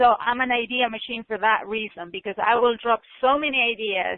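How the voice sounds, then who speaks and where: The woman's pitch is fairly high. Her intonation is fairly even. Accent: non-native. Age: 40s. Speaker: author. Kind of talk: interview conversation. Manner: emphatic.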